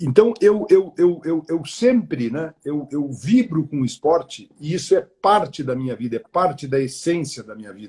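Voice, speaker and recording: This man's fairly high voice has a dark, mellow tone and very wide pitch swings. He keeps a moderate pace with hardly any pauses. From southern Brazil, Porto Alegre. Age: 60s. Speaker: retired media executive. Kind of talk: interview on a live stream. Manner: halting, many repeated words.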